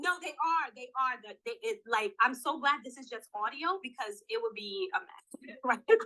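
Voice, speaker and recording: In a raised, projected voice, a woman sounds animated, her tone bright and sharp and her pitch high, with very wide pitch swings and big swings in loudness. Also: moderate pace. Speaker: career coach. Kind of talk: interview podcast.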